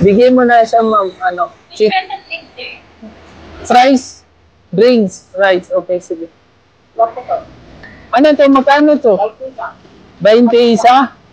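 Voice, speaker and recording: At a very slow pace with long, frequent pauses, a woman speaks at a fairly high pitch with lively intonation. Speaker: vlogger helping a street vendor. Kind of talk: casual street conversation.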